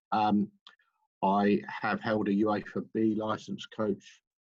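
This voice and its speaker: Here a man speaks with an English accent in a fairly low voice. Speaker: football club manager and coach. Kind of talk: webinar presentation. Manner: hesitant, many fillers.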